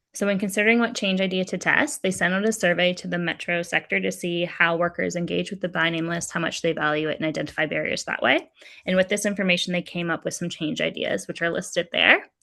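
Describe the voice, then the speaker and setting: Against a quiet background, a bright, sharp tone with vocal fry rushes at a very fast pace with fairly even intonation and hardly any pauses. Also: woman, fairly low pitch for a woman. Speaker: workshop facilitator. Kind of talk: online workshop presentation.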